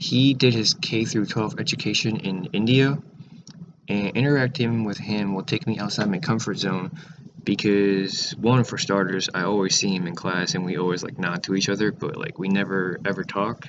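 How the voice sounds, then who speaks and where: A man at a moderate pace, fairly low in pitch with ordinary pitch variation, over noticeable background noise. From Taiwan, moved to US in sixth grade. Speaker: student vlogger. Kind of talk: casual vlog monologue. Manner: halting, many fillers.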